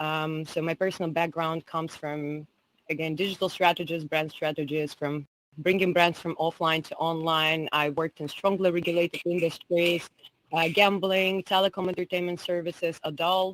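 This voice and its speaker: In a Russian accent, a woman speaks with monotone, flat intonation at a fairly low pitch and moderate pace, the sound dry and close with no echo. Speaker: entrepreneur and digital strategist. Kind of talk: conference talk.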